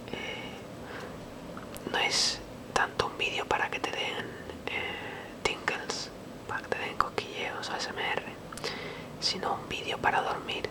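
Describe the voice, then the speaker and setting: Noticeable background noise fills the clip. Over it comes a very slow whisper. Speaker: ASMR creator. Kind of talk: ASMR whispered intro. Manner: whispering.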